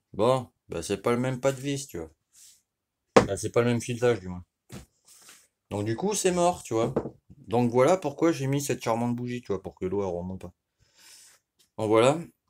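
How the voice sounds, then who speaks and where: A man with a medium pitch talks at a moderate pace, with long, frequent pauses. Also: very clean recording, silent background. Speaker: moped mechanic youtuber. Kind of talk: tutorial. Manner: loud; casual, filler-heavy.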